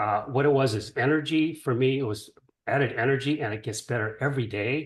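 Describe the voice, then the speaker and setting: Somewhat breathy, a man talks at a medium pitch and a fairly quick pace. His pitch varies in an ordinary way. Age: 70s. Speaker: caller giving a product testimonial. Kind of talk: testimony. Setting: group call.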